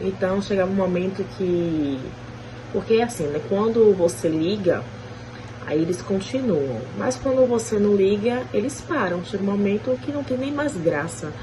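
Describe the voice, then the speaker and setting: In a room with audible echo and noticeable background noise, a woman speaks fairly slowly at a medium pitch, her voice making very wide pitch swings. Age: 30s. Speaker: street interviewee. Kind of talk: street interview.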